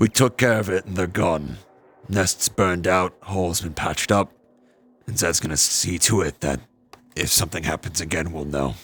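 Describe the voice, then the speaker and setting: A raspy, put-on character voice goes at a moderate pace. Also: man, very deep, low pitch for a man. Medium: actual play. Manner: measured, calm, steady.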